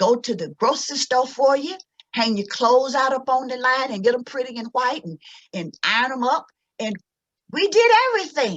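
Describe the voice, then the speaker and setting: Lively in intonation, a woman with a Mississippi accent speaks at a moderate pace and high pitch. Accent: Southern US, Mississippi. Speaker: cultural anthropologist and educator; civil rights activist. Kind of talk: lecture with slides.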